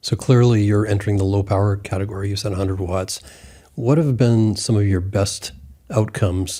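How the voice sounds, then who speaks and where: A man speaks at a fairly quick pace in a fairly low, dark, mellow voice that is somewhat breathy, with fairly even intonation. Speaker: podcast host, ham radio interviewer. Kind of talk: interview question.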